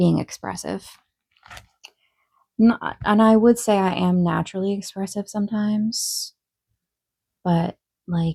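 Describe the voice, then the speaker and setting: Recorded dry and close with no echo, a woman speaks at a fairly slow pace with long, frequent pauses. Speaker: vlogger. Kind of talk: casual Q&A vlog. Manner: sometimes monotone; hesitant, many fillers.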